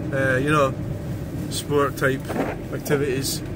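Over loud background noise, a man's voice sounds dry with no echo. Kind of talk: casual vlog chat. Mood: reflective, calm. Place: car. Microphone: phone near.

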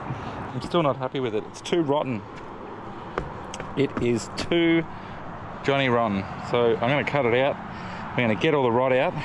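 With noticeable background noise and a dry sound with no echo, a man talks at a fairly slow pace with ordinary pitch variation and long, frequent pauses. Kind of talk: casual vlog chat. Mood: relaxed, slightly frustrated. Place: open country. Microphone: phone near.

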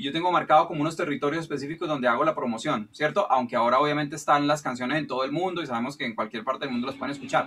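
A fairly high-pitched man races along very fast with fairly even intonation while noticeable background noise carries on behind him. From Colombia. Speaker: music producer and songwriter. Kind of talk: question in online Q&A. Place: studio. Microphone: video call.

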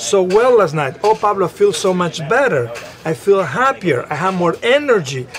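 A man is speaking at a moderate pace. Light background noise is present. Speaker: guest. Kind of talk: interview answer. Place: studio. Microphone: lapel.

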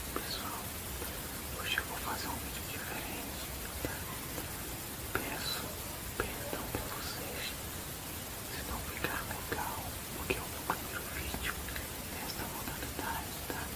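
This man talks at a fairly slow pace, leaving long, frequent pauses. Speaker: ASMR creator. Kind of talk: casual talk to camera. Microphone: phone near.

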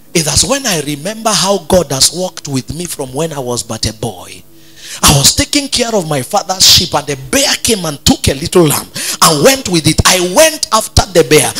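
A man at a moderate pace, faint music in the background. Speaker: pastor. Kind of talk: sermon. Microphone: handheld.

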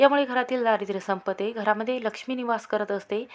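Her intonation fairly even, a woman speaks fast at a fairly high pitch.

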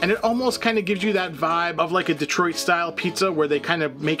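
Over clear music in the background, a man with a high pitch talks at a very fast pace with ordinary pitch variation. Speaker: food reviewer. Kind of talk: commentary. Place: home room.

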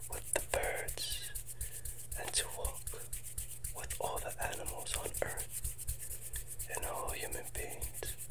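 A man is whispering. His pace is very slow. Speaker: ASMR creator. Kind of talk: soft soothing ASMR talk. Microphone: earbuds.

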